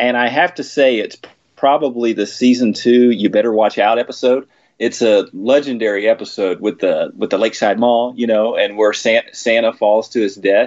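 A man with an American accent talks at a moderate pace, at medium pitch and with fairly even intonation. He has an ordinary speaking voice. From Texas. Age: 30s. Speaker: podcast guest, fan of the show. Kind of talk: casual chat.

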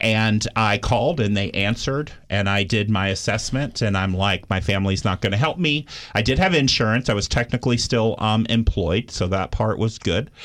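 Speaking in a normal speaking voice with an American accent, the talker uses ordinary pitch variation and hardly any pauses. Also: man, fairly low pitch for a man, moderate pace. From Austin, Texas. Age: 40s. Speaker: addiction recovery center staff. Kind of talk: interview. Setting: studio.

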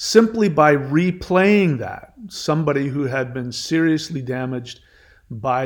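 Lively intonation marks this man's delivery. His pitch sits at a medium level. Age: 50s. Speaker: online spiritual teacher and podcaster. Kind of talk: rant monologue. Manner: halting, many fillers.

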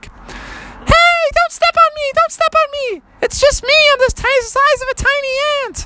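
This put-on character voice is squeaky and extremely high-pitched, delivered at a moderate pace. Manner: pleading, frightened.

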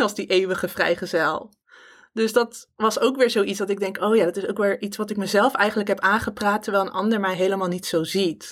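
In an unremarkable speaking voice, a woman at medium pitch talks fairly quickly with fairly even intonation, on a very clean recording with a silent background. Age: 30s. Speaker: podcast host. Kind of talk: personal podcast monologue.

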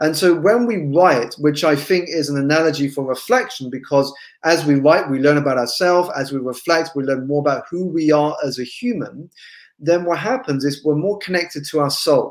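Speaking at a moderate pace in a fairly high pitch, a man with an English accent shows ordinary pitch variation on a very clean recording with a silent background. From England. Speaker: business coach. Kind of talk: interview.

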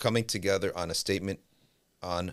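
Recorded very cleanly against a silent background, a man speaks with a New Jersey accent. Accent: New Jersey American. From US Northeast (New Jersey). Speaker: Islamic scholar and teacher. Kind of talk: podcast interview. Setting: studio, in person. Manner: animated.

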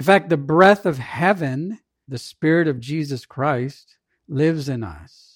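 Fairly slow speech with ordinary pitch variation, on a very clean recording with a silent background. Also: man, fairly high pitch for a man. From Southern California (born in Jamaica, moved as child). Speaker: pastor. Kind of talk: sermon.

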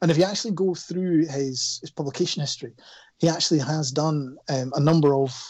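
With a Scottish accent, a man talks at a fairly quick pace in a fairly high pitch, his pitch varying in an ordinary way. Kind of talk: casual chat.

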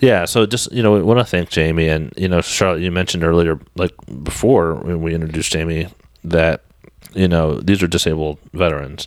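A man talks in a very deep, low pitch. His pitch varies in an ordinary way. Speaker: podcast host. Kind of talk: interview.

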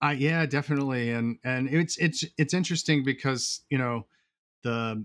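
Over a very clean recording with a silent background and dry, close sound with no echo, a man with an American accent speaks at medium pitch with ordinary pitch variation. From upstate New York. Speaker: landscape photographer. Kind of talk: casual interview conversation. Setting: home studio. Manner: hesitant, many fillers and restarts.

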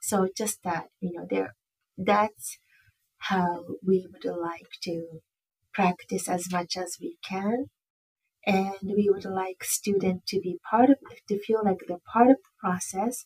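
Somewhat breathy, with a Japanese accent, the voice moves at a very slow pace with fairly even intonation and big swings in loudness, in a dry, close sound with no echo. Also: woman, medium pitch for a woman. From Japan, Tokyo. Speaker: director of field education in social work. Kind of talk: casual interview.

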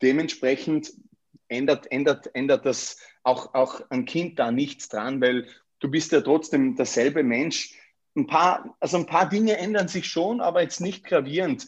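The pace is fairly slow, with lively intonation. The background is quiet. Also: man, fairly high pitch for a man. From Austria, Vorarlberg. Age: 30s. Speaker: real estate agent. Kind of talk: interview. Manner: hesitant, many fillers and repetitions.

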